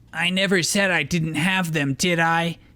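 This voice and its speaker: Using a put-on character voice, a man speaks at a high pitch and a moderate pace with fairly even intonation. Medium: read story. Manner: sneering, condescending.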